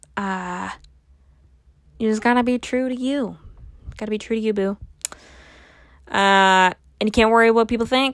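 At a moderate pace, a woman speaks with a fairly high pitch and fairly even intonation, leaving long, frequent pauses. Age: 20s. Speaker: podcast host. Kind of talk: casual monologue. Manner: halting, many filler words.

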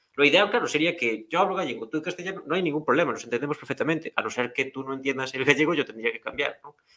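Talking very fast with hardly any pauses, a man's voice shows big swings in loudness. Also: fairly high pitch for a man, ordinary pitch variation. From rural Galicia, Spain. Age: 20s. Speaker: podcast host. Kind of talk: casual chat.

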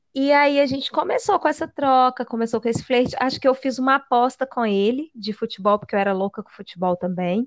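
Fairly quick speech with lively intonation and big jumps in loudness comes through dry and close, with no echo. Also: woman, high pitch for a woman. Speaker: podcast co-host. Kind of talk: casual chat.

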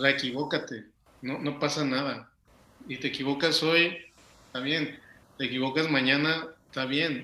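A man's fairly high, bright, sharp voice in a flat monotone, with long, frequent pauses. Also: moderate pace. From Mexico City. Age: 40s. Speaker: café owner. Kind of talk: casual chat.

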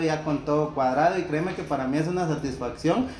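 Noticeable background noise and audible room echo around a man's fairly quick speech. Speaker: podcast host. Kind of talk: casual interview.

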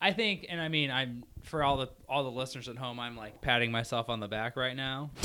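At a fairly quick pace, a man with a Midwestern US accent speaks at a medium pitch with ordinary pitch variation. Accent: US Midwest. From Indiana, Crown Point. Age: 30s. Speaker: host's husband. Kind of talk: casual chat.

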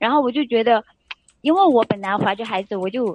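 This woman's pitch moves in an ordinary way. She talks at a fairly quick pace. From Sichuan, China. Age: 20s. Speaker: caller seeking relationship advice. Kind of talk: call-in advice chat. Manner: hesitant, many filler sounds.

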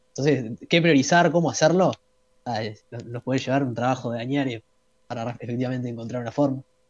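A man with a Uruguayan accent talks at a fairly quick pace. His medium-pitched voice sounds dry and close, with no echo. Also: ordinary pitch variation. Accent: Uruguayan Spanish (rioplatense). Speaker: economics student. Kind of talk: casual chat. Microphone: bad internet connection.

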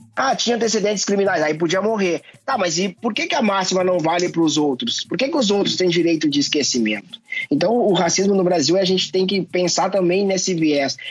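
Noticeable background noise surrounds a man speaking at a fairly quick pace with very even loudness. His pitch is high and his intonation lively. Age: 40s. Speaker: anti-racism activist. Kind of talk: interview.

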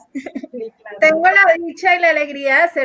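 A woman speaks in a raised, projected voice. Her pace is moderate, and her pitch varies in an ordinary way. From Colombia. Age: 40s. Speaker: network marketing leader. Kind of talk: panel question. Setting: video call.

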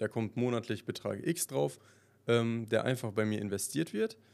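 The recording is very clean, with a silent background. A man speaks in a normal speaking voice at a medium pitch and moderate pace, with ordinary pitch variation. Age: 20s. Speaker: podcast host. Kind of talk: casual monologue.

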